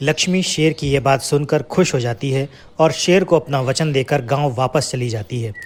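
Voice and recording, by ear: A man's voice sits at a medium pitch. The pace is moderate. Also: ordinary pitch variation.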